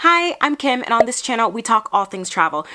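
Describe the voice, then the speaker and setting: A woman's animated, fairly high voice at a fairly quick pace, full of very wide pitch swings. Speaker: travel vlogger and linguist. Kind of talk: tutorial.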